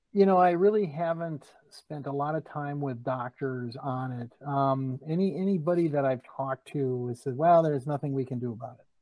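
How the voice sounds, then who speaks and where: A man with an unremarkable speaking voice, fairly high in pitch, at a moderate pace and with ordinary pitch variation. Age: 40s. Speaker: accountant and comedian. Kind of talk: casual interview.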